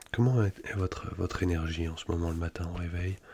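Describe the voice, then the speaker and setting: A man whispers in a soft-spoken, somewhat breathy way with a calm tone. The recording is very clean, with a silent background. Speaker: ASMR creator. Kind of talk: ASMR psychologist roleplay, soft spoken whispered. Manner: soft-spoken, whispered, calm, reassuring.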